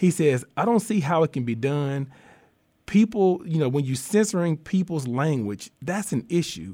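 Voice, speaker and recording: A man's fairly high voice has a dark, mellow tone and very wide pitch swings. The recording is very clean, with a silent background. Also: moderate pace. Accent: Southern US. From US South, southeast Arkansas. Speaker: diversity consultant and columnist. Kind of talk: interview conversation. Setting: studio.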